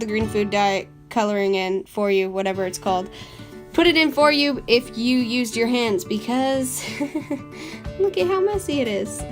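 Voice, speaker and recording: With music in the background, the speaker uses lively intonation at a moderate pace. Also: woman. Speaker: amateur home baker. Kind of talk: casual baking tutorial talk. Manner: rambling, chatty.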